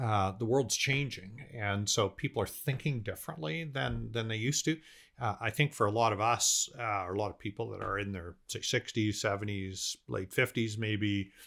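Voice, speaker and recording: A man with a Canadian accent and a normal speaking voice, fairly low in pitch with ordinary pitch variation, at a moderate pace with hardly any pauses, on a very clean recording with a silent background. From Canada, Vancouver. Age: 60s. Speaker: business owner. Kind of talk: casual interview chat.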